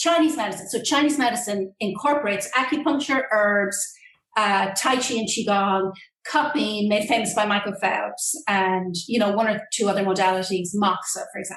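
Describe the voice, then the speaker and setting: An Irish accent at a moderate pace, with ordinary pitch variation. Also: woman, medium pitch for a woman. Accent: Irish lilt. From Ireland. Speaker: acupuncturist and Qigong instructor. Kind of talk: interview answer.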